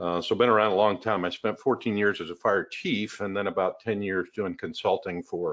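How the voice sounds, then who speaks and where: This is a man's voice, pitched fairly low. His intonation stays fairly even. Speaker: fire service veteran and software presenter. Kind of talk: webinar product presentation. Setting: online webinar. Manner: fast.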